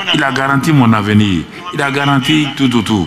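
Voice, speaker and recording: Over background music and audible room echo, a man talks at a moderate pace. His pitch is fairly high, with ordinary variation. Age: 70s. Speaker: pastor. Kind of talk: sermon. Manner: animated.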